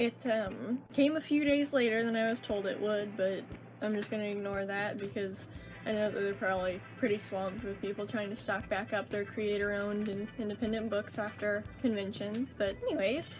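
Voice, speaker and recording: A woman speaks at a moderate pace and medium pitch. Music plays in the background. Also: ordinary pitch variation. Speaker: comic artist. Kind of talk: casual talk to camera.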